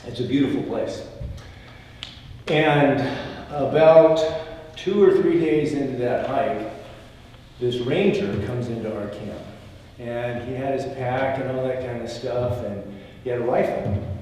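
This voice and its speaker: A man with an American accent at a medium pitch and ordinary pitch variation, fairly slow with long, frequent pauses and big swings in loudness, amid audible room echo and noticeable background noise. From Washington State, US Pacific Northwest. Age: 60s. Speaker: religious panelist. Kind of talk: panel talk, storytelling. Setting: standing at podium before audience.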